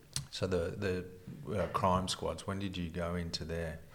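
In an Australian accent, a man speaks at a fairly slow pace with a very deep, low pitch, and room echo is audible. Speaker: retired police detective, podcast host. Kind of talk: interview.

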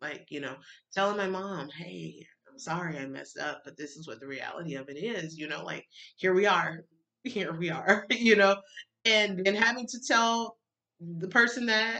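Bright, sharp female tones at a moderate pace. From Alabama, US South. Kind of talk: personal testimony. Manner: emotional, halting.

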